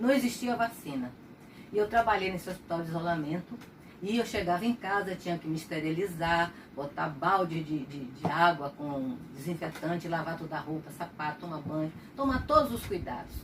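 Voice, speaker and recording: A woman's fairly low voice with lively intonation at a moderate pace, over noticeable background noise. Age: 70s. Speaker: retired pediatrician. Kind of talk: personal testimony.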